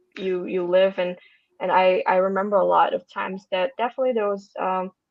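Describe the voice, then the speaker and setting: At a fairly quick pace, a woman with a Russian accent speaks at a medium pitch with fairly even intonation. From Russia (Moscow). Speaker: podcast guest, marketing worker. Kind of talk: casual interview chat. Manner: halting, many fillers and restarts.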